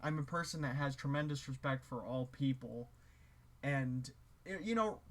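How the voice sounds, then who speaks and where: At a moderate pace, a man speaks with a fairly high pitch and ordinary pitch variation. His voice is somewhat breathy. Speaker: musician and video creator. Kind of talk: casual monologue to camera. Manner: hesitant, many filler words and restarts.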